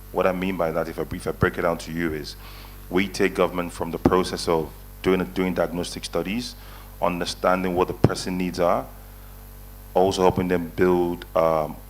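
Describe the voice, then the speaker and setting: With a very deep, low pitch, a man speaks at a moderate pace using fairly even intonation. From Nigeria. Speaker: investment advisory panelist. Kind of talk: conference panel talk.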